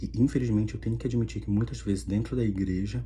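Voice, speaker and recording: A man speaks with a very deep, low pitch and very wide pitch swings. There is audible room echo. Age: 30s. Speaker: video blogger. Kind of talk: personal testimony.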